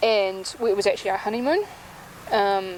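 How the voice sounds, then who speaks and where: With a New Zealand accent, a woman speaks at a moderate pace in a medium pitch while noticeable background noise plays behind her. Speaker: music blogger and author. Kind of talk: interview.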